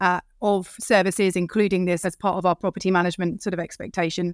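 In a British accent, a woman speaks very fast at a medium pitch with monotone, flat intonation, captured in a very clean recording with a silent background and a dry, close sound with no echo. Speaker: property management executive. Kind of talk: podcast interview.

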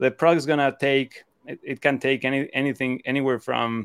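Speaking fairly quickly with a Spanish accent, a man at a medium pitch comes through with a dry, close sound, no echo, and a very clean recording with a silent background. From Mexico (Cancun). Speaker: e-commerce seller and co-founder. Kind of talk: interview. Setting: live stream. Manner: halting, many repetitions.

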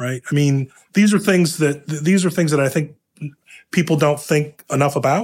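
A man with an American accent speaks in a somewhat breathy voice at a fairly high pitch for a man. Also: ordinary pitch variation, moderate pace. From Ohio, US Midwest. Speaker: affordable housing investment executive. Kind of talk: interview conversation.

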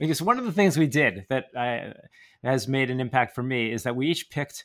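At a moderate pace, a man with an ordinary speaking voice and ordinary pitch variation talks in a very clean recording with a silent background. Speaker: podcast host. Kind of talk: casual interview.

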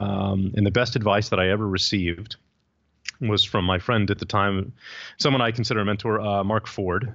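A man with an American accent speaks at a moderate pace in a fairly low, normal speaking voice. The background is quiet. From Texas, San Antonio. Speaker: entrepreneur. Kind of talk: interview.

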